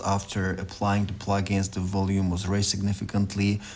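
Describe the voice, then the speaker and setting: A man with a non-native accent at a moderate pace. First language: not English. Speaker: music producer. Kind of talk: tutorial. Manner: informal, with hesitations.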